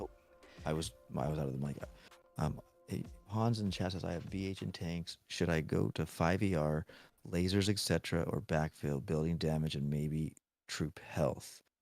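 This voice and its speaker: Music plays behind a man with a very deep, low voice. He talks at a moderate pace with ordinary pitch variation and long, frequent pauses. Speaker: gaming streamer. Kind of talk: live stream commentary. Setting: home bedroom at night. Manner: quieter than usual.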